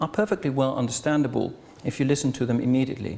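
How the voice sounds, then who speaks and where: Speaking with a non-native accent, a man keeps a fairly quick pace. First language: Dutch. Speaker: association chairman opening a conference. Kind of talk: welcome speech. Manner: formal.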